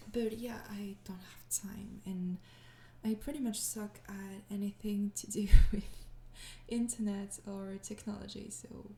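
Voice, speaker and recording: A woman's dark, mellow, somewhat breathy voice at medium pitch, with fairly even intonation and a fairly slow pace. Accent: French. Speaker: ASMR audio creator. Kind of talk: casual Q&A talk to listeners.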